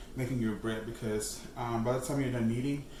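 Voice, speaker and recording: Through noticeable background noise and audible room echo, a man talks at a fairly quick pace in a medium pitch. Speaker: cooking channel host. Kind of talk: cooking tutorial. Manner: fast; casual, chatty with fillers.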